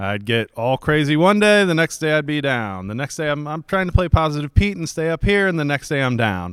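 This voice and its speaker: His pitch is fairly high for a man and swings very widely as he talks. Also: dry, close sound with no echo, very clean recording, silent background. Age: 30s. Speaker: podcast co-host. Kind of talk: casual chat.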